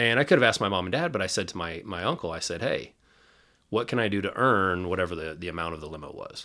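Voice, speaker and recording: In a Midwestern American accent, a man talks at a very fast pace and a very deep, low pitch with ordinary pitch variation, on a very clean recording with a silent background. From Kansas City, Missouri (Northland). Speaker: sales team leader. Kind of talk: casual chat.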